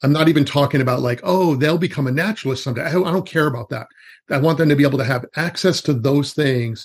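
Somewhat breathy and very fast, a man talks at a fairly high pitch with ordinary pitch variation. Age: 50s. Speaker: forest school educator. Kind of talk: casual chat.

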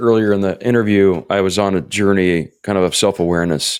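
A man's ordinary speaking voice, fairly low in pitch with ordinary pitch variation, on a very clean recording with a silent background. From Florida, US South. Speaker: life coach. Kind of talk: testimony.

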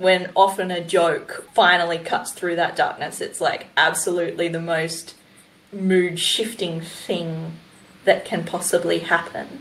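A woman in an Australian accent, speaking at a fairly slow pace. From New South Wales, Australia. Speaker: podcast co-host and environmental educator. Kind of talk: casual interview.

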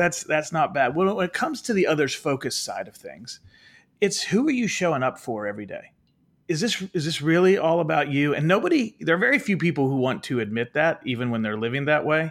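A man's fairly high voice at a fairly quick pace, with very wide pitch swings, on a very clean recording with a silent background. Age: 40s. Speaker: leadership author and speaker. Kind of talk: interview.

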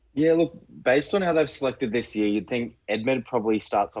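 With an Australian accent and lively intonation, a man talks in a dry, close sound with no echo. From Queensland, Australia. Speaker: rugby fan, podcast guest. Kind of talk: casual chat.

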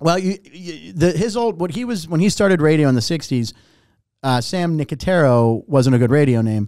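Here a man with an American accent has a dark, mellow tone and a fairly high pitch, with very wide pitch swings. He keeps a moderate pace. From US, Pittsburgh. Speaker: game show host. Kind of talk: casual chat.

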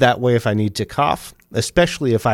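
At a fairly quick pace, a man speaks with ordinary pitch variation in a very clean recording with a silent background. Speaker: podcaster and podcast editor. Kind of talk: solo podcast tutorial. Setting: home studio recording at a desk.

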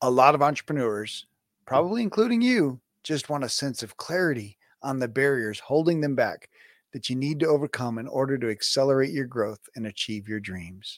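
This man has a normal speaking voice pitched in the medium range. His intonation is lively and his pace fairly quick. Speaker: podcast host and business coach. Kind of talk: interview.

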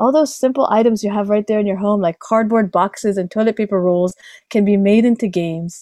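A woman talks at a fairly quick pace in a medium pitch with a dark, mellow tone and ordinary pitch variation. The sound is dry and close, with no echo. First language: Hebrew (native bilingual with English). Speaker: speech language pathologist. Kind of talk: interview.

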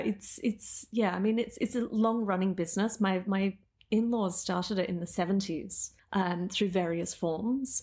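With an Australian accent, a woman speaks at a medium pitch in a somewhat breathy voice with fairly even intonation, recorded very cleanly against a silent background. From Australia, Melbourne. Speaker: photographer and business owner. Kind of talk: casual interview chat.

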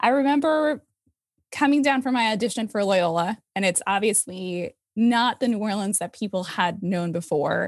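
A normal speaking voice, this woman talks at a moderate pace and medium pitch with lively intonation, in a very clean recording with a silent background. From moved all over the US. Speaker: music educator and arts administrator. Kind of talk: casual interview.

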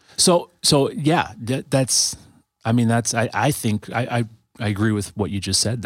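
In a very clean recording with a silent background, a man with a plain, everyday voice speaks at a moderate pace and medium pitch with ordinary pitch variation. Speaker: guest, musician and church friend. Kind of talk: casual podcast chat.

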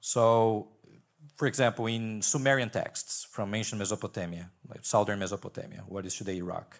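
Delivered at a moderate pace in a Portuguese accent, the speech shows ordinary pitch variation. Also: man, fairly low pitch for a man. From Brazil. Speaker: PhD student in Old Testament. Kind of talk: panel discussion.

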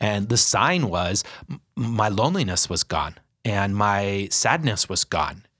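A man with an ordinary speaking voice talks fairly slowly at a fairly low pitch in a very clean recording with a silent background. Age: 40s. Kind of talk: casual interview.

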